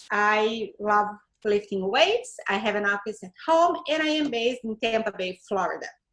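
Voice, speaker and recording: A woman speaks at a moderate pace with a Brazilian accent. Her pitch is fairly high, with ordinary variation. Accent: Brazilian Portuguese accent, lasting. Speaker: Pinterest strategist. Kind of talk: interview.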